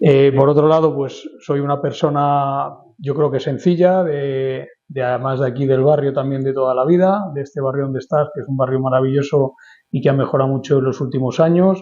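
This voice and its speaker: This man has an ordinary speaking voice, pitched fairly high. He talks at a fairly quick pace with fairly even intonation. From Spain, Madrid. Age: 50s. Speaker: lawyer and urban planning expert. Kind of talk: interview. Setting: office.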